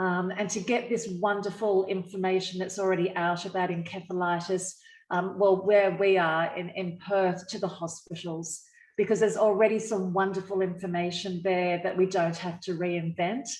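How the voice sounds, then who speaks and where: A woman speaks with an Australian accent at a moderate pace. Her intonation is monotone and flat. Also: medium pitch for a woman. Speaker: encephalitis survivor, media professional. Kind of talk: online panel discussion.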